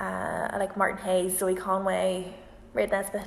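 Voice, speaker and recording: With noticeable background noise behind her, a woman speaks at a moderate pace and a medium pitch. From Northern Ireland, County Antrim. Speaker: violinist and singer-group musician. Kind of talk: casual Q&A livestream.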